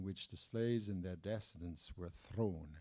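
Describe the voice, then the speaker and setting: A man speaks in a Parisian accent with a dark, mellow tone. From France, Paris. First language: French. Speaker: jazz historian and author. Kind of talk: conference talk; reading aloud. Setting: conference room with audience. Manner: halting, many fillers.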